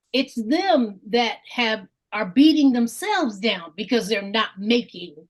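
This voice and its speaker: A woman with a normal speaking voice talks with lively intonation at a fairly high pitch. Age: 60s. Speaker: Bible study participant. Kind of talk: group discussion.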